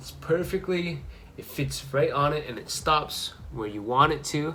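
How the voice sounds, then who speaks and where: A man at a fairly slow pace, big swings in loudness, audible room echo. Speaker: fishing vlogger. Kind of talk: casual tutorial.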